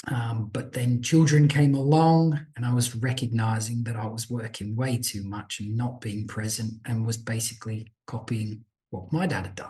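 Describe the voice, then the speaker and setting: A man's dark, mellow, somewhat breathy voice with an Australian accent, medium pitch and ordinary pitch variation, at a moderate pace with hardly any pauses. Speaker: business owner. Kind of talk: podcast interview.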